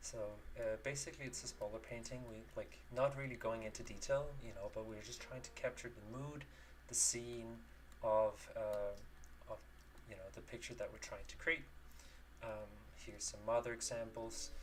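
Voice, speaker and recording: With noticeable background noise behind him, a man talks with long, frequent pauses and big swings in loudness. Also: moderate pace. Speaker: digital painter, art streamer. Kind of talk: live-stream painting tutorial. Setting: live stream from home studio. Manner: halting, many fillers.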